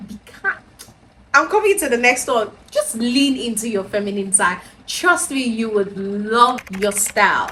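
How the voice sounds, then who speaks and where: Over noticeable background noise, a woman with a Nigerian accent speaks fairly slowly at a fairly high pitch, with lively intonation. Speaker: lifestyle vlogger. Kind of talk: casual advice talk to camera. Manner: soft-spoken.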